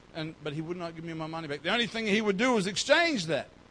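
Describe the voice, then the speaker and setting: With an Australian accent, a man speaks in a high voice. His pitch varies in an ordinary way. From Australia, North Queensland. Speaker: pastor. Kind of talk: sermon. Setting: church.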